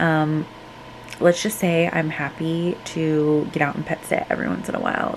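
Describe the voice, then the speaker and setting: A woman with a very deep, low voice speaks over noticeable background noise. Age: 20s. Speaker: lifestyle vlogger. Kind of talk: casual vlog talk to camera. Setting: outdoors at night. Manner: casual, filler-heavy; soft-spoken, trying to be quiet.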